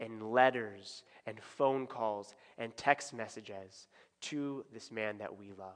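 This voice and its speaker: In a quiet background, a man's voice is heard. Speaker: pastor. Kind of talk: prayer and church announcements. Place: church.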